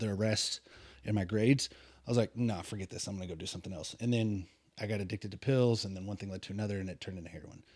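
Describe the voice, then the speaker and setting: A man with an American accent talks at a very fast pace with fairly even intonation. The recording is very clean, with a silent background. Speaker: lay preacher and ministry leader. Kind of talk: testimony.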